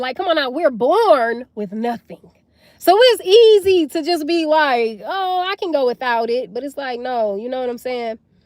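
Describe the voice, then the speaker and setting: A woman speaks loudly at a moderate pace in a high pitch, her tone animated and her pitch swinging very widely. The sound is dry and close, with no echo. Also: hardly any pauses. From US South. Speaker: livestreamer. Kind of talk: live stream chat. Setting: livestream.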